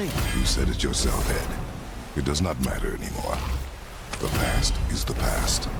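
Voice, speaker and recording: Someone talks at a moderate pace in a put-on character voice. Loud noise fills the background. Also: man. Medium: machinima. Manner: terse, gruff.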